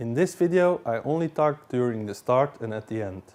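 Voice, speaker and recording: With lively intonation, a man talks at a moderate pace in a medium pitch. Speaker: DIY hobbyist. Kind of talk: tutorial.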